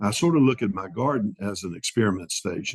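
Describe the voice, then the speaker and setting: The voice is somewhat breathy, with lively intonation and a moderate pace. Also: man, dry, close sound with no echo. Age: 70s. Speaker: grazing specialist. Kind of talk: interview. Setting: podcast.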